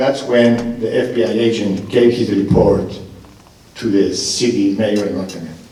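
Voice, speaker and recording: Medium-pitched male speech at a fairly slow pace, with audible room echo and noticeable background noise. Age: 60s. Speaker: mayoral candidate, restaurant owner. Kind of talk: political forum answer. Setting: stage with audience, live radio broadcast.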